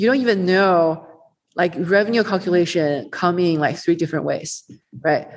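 A woman speaks in a fairly low voice with a Chinese accent. Her pace is moderate and her loudness very even. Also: ordinary pitch variation. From China. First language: Mandarin Chinese. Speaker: venture capitalist. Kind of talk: casual interview.

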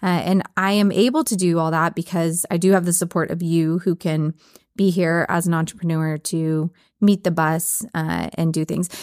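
A woman with fairly low pitch and an ordinary speaking voice talks at a moderate pace with fairly even intonation, in a dry, close sound with no echo on a very clean recording with a silent background. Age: 40s. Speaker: veterinarian and podcast host. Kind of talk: casual chat.

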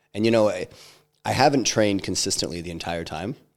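Recorded very cleanly against a silent background, a man speaks at a fairly quick pace with ordinary pitch variation. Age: 40s. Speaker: entrepreneur and investor. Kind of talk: casual interview conversation.

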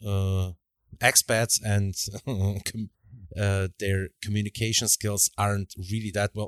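In a Slovak accent, a man with a fairly low pitch speaks very slowly and in a flat monotone, recorded very cleanly with a silent background and a dry, close sound with no echo. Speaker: podcast host. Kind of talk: casual interview chat.

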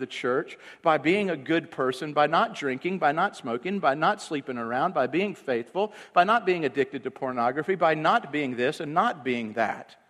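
An unremarkable speaking voice belongs to a man with fairly high pitch. He talks at a moderate pace with ordinary pitch variation. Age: 40s. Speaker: pastor. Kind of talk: sermon. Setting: church.

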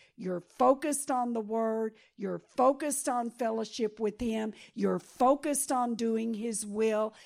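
In a Texan accent, a woman speaks fairly slowly with a fairly high pitch and fairly even intonation, on a very clean recording with a silent background. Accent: Texan American English. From Texas. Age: 70s. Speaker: pastor and missionary. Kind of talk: sermon.

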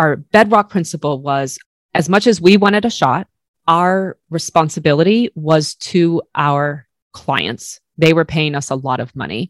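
In a dry, close sound with no echo, a woman speaks at a fairly slow pace in a fairly low voice, with ordinary pitch variation and a warm, passionate tone. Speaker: food photographer and podcaster. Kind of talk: casual interview conversation.

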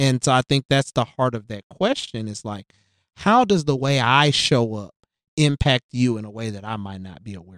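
A man speaks with a Southern US accent, his loudness swinging widely and his pitch varying in an ordinary way. The sound is dry and close with no echo, against a quiet background. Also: medium pitch for a man. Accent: southern drawl. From US South, West Tennessee (Jackson). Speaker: diversity consultant for schools, former teacher. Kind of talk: casual interview conversation.

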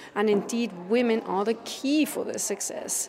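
Noticeable background noise accompanies a woman whose pitch varies in an ordinary way. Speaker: campaign co-founder. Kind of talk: interview. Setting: busy event venue. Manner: assertive, rhetorical.

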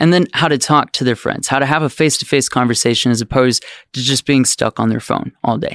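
With an American accent, a man at a medium pitch talks at a very fast pace in a dry, close sound with no echo. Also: fairly even intonation. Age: 20s. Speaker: children's book author and puppeteer. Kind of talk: casual interview chat.

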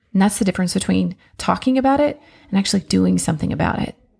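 A woman speaks at medium pitch in a warm tone with vocal fry. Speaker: podcast host. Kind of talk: solo podcast monologue, motivational. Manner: warm, conversational.

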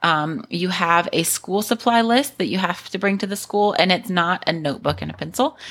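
A woman talks at a moderate pace in an American accent, with hardly any pauses. Her medium-pitched voice has vocal fry and ordinary pitch variation. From western North Carolina, US South. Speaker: missionary, ministry director. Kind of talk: casual interview.

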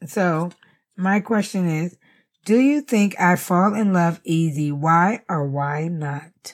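A woman speaks at a very slow pace with lively intonation in a very clean recording with a silent background. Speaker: podcast co-host. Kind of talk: casual chat.

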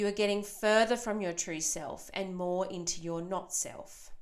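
An ordinary speaking voice talks at a fairly slow pace with ordinary pitch variation. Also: woman. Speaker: podcast host and mothers' coach. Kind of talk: guided meditation, imagining a campfire; solo podcast monologue. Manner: slow, calm, soothing; soft-spoken, gentle.

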